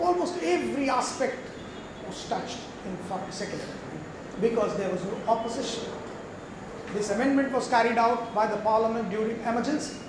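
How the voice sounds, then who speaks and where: With an extremely high pitch and ordinary pitch variation, a man speaks at a moderate pace with long, frequent pauses. Audible room echo and noticeable background noise fill the recording. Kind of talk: lecture. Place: hall.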